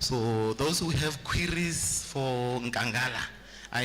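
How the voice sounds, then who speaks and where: A medium-pitched man with ordinary pitch variation, amid noticeable background noise and audible room echo. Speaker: medical aid representative. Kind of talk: sales pitch.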